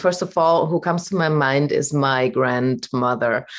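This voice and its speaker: Against a quiet background, a woman with a German accent speaks at a fairly slow pace with ordinary pitch variation. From Germany. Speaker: voice coach. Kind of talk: casual interview. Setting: video call.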